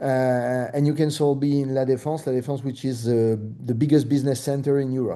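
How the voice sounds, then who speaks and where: Speaking at a fairly quick pace with a French accent, a man uses a medium pitch and a monotone, flat intonation. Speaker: real estate broker. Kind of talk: presentation. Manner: halting, many fillers.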